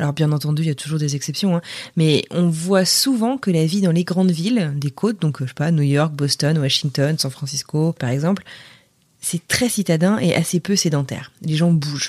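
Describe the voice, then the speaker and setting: The woman's very deep, low voice holds a moderate pace and shows ordinary pitch variation. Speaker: French expat. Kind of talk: recorded voice message.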